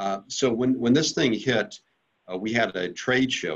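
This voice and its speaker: A man with an ordinary speaking voice, at a moderate pace, with ordinary pitch variation. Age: 60s. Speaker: company CEO. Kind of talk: interview.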